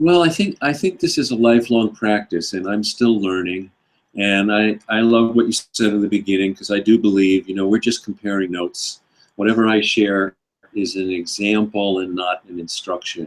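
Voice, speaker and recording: In a very clean recording with a silent background, a man with fairly low pitch and an unremarkable speaking voice speaks at a moderate pace with ordinary pitch variation. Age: 60s. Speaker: author and speaker. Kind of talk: interview. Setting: live stream.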